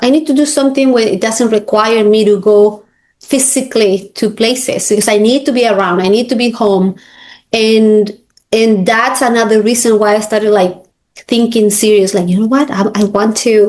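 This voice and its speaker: A woman with a Spanish accent, fairly high pitch, fairly even intonation, very even loudness and a moderate pace. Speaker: realtor and coach. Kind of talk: interview. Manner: halting.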